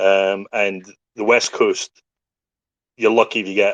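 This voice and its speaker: A man with a Scottish accent speaks at a moderate pace. The sound is dry and close, with no echo and a quiet background. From Scottish Highlands, raised partly in Hong Kong. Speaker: podcast guest, crypto community figure. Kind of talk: casual chat.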